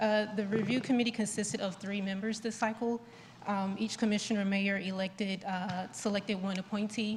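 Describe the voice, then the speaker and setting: A soft-spoken woman talks at a fairly quick pace and medium pitch. Her intonation is monotone and flat, and background noise is noticeable. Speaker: town staff member presenting grant report. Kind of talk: presentation at public board meeting. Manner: halting, many fillers.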